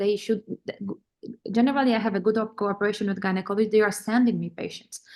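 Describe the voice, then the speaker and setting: A woman with a Polish accent talks at a very fast pace, with a fairly high pitch and monotone, flat intonation. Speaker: vein specialist doctor. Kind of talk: webinar panel discussion. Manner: halting.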